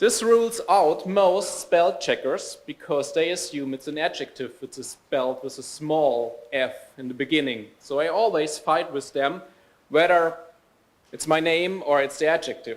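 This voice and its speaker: With a German accent, a man speaks at a fairly high pitch and a moderate pace. His pitch varies in an ordinary way while his loudness swings widely. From Germany. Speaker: software developer trainer and speaker. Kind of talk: conference talk.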